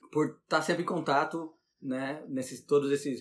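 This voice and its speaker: A man speaks with a Brazilian accent at a moderate pace. His pitch is fairly high. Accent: Brazilian accent when speaking English. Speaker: science teacher. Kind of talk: interview. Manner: halting, repeats words.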